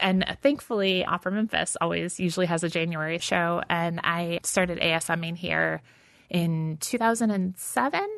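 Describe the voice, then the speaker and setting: With an American accent, a woman speaks at a moderate pace in a normal speaking voice. Her pitch is fairly low, with ordinary variation. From Texas, then Michigan. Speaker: novelist. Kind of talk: interview. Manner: casual, laughs often.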